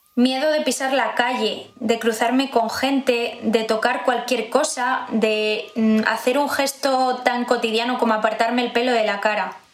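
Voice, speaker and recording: In a room with audible echo, a woman with a high pitch talks very slowly in a monotone, flat intonation. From Spain, Zamora (Castile and León). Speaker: pregnant office worker sharing lockdown experience. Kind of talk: personal testimony, read narrative.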